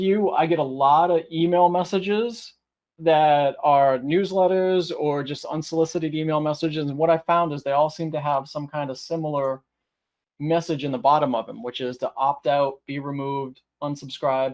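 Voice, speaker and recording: Here a man speaks with a fairly high pitch and ordinary pitch variation. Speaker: IT trainer. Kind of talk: webinar tutorial. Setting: online webinar. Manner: fast; hesitant fillers.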